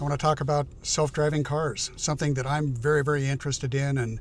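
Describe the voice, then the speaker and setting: Speaking with an American accent, a man uses a fairly high pitch and a somewhat breathy voice. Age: 70s. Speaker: YouTuber, retired tech professional. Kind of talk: casual vlog monologue. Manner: hesitant, many fillers and repeats.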